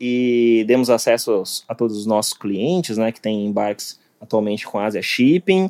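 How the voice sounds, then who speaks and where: Lively intonation marks a man's medium-pitched voice, which has a dark, mellow tone and moves at a moderate pace. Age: 30s. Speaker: IT project manager. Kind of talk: casual interview chat.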